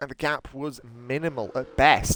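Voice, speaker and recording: A man with an English accent at a very slow pace, with fairly even intonation. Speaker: sim racing commentator. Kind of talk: live commentary. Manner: hesitant with fillers.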